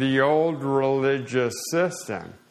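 Audible room echo follows a man speaking at a very slow pace with fairly even intonation. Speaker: assistant pastor. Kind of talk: sermon. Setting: church. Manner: slow and slurred speech.

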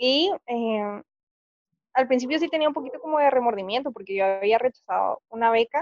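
A woman speaks at a moderate pace in a fairly high pitch with ordinary variation. The sound is dry and close, without echo. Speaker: university student, friend of host. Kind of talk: casual chat.

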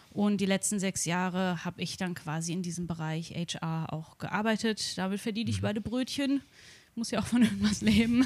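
A woman's somewhat breathy, medium-pitched voice on a very clean recording with a silent background. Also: ordinary pitch variation, moderate pace. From Germany, Darmstadt near Frankfurt. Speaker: vegan coach. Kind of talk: casual chat.

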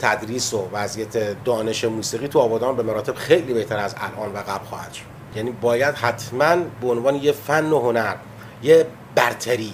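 A medium-pitched male voice with ordinary pitch variation and noticeable background noise. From Abadan, southwestern Iran (Khuzestan). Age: 50s. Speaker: musician. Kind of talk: interview. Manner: halting.

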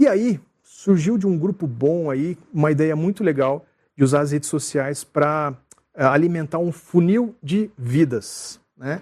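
A man's fairly high-pitched voice at a fairly slow pace, with ordinary pitch variation over a quiet background. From Rio de Janeiro, Brazil; raised in Curitiba. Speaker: church communications director. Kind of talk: casual interview chat.

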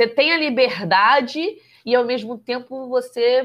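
A woman is talking. Her pace is very slow. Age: 20s. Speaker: photographer and entrepreneur. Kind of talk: casual chat.

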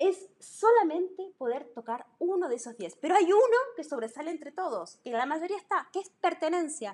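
A woman's animated voice runs at an extremely high pitch with hardly any pauses, very wide pitch swings and big swings in loudness. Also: moderate pace. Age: 40s. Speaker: podcast co-host, workplace wellbeing consultant. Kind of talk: casual conversational podcast.

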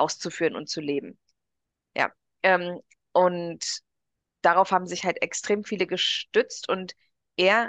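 Over a quiet background, a woman speaks at a very slow pace with fairly even intonation. The sound is dry and close, with no echo. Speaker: podcast co-host. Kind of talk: casual chat.

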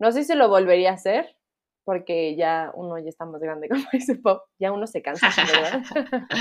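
Speaking at a moderate pace, a woman with a medium pitch shows very wide pitch swings and big swings in loudness. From Mexico. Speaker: marketing professional and former au pair. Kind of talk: casual chat.

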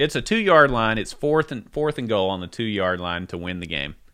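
On a very clean recording with a silent background, a man with a bright, sharp tone and vocal fry speaks at a moderate pace with very wide pitch swings. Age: 30s. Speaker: podcast co-host. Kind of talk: casual chat.

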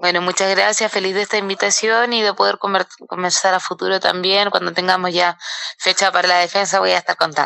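A woman's voice is very even in loudness, with a dry, close sound and no echo. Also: medium pitch for a woman, fairly quick pace. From southern Chile, Valdivia. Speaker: professional boxer. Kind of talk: interview. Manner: halting.

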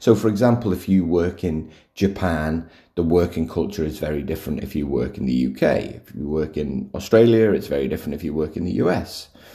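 A man's very deep, low voice with vocal fry and a dark, mellow tone. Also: lively intonation. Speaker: podcast host, workplace culture author. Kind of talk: solo podcast talk. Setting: recording at home. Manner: casual, with fillers and restarts.

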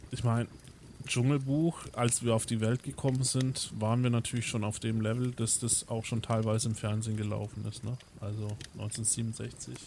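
A man speaks at a moderate pace and medium pitch. His intonation is monotone and flat. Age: 30s. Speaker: podcast co-host. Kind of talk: casual chat.

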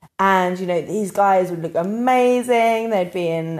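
Speaking with a southern English accent, a woman uses a medium pitch and ordinary pitch variation at a fairly slow pace. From England, London area (Harrow). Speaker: podcast co-host. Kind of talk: casual chat.

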